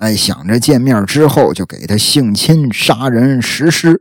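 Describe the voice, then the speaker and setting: A man speaks at a fairly slow pace, his medium-pitched voice carrying lively intonation. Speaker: true crime podcast host. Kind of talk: casual true-crime storytelling. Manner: chatty, filler-heavy.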